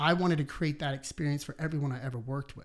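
In a very clean recording with a silent background, a man with a plain, everyday voice speaks at a fairly high pitch with fairly even intonation. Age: 30s. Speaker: personal trainer and business owner. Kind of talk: casual interview conversation.

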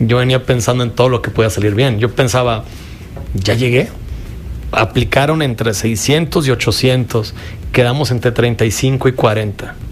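A man with a medium-pitched voice talks at a fairly slow pace with fairly even intonation over noticeable background noise. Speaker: filmmaker. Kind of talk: casual chat.

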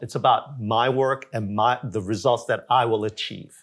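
A man with an unremarkable speaking voice talks at a moderate pace in an American accent. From Korea, then Jamaica, Queens, New York from age 11. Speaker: nonprofit founder and executive director. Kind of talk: interview, personal life story. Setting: filmed interview.

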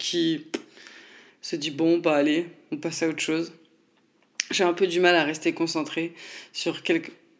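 At a moderate pace, a woman with a fairly low pitch speaks with fairly even intonation and long, frequent pauses. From France, Nancy. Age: 20s. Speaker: podcast host. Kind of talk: casual monologue. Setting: home recording at computer.

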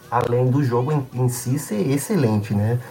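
Noticeable background noise fills the recording. Through it, a man is talking. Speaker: games writer. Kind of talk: casual chat.

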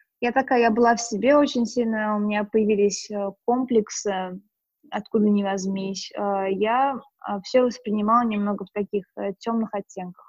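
Somewhat breathy and fairly high in pitch, a woman speaks at a moderate pace with fairly even intonation in a dry, close sound with no echo. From Russia, Moscow region. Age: 20s. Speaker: lifestyle blogger. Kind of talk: casual interview chat. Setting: online call.

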